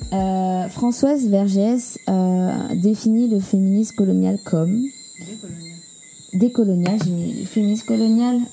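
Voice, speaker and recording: A woman at a medium pitch speaks at a very slow pace with ordinary pitch variation, noticeable background noise behind her. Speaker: podcast co-host. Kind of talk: casual chat.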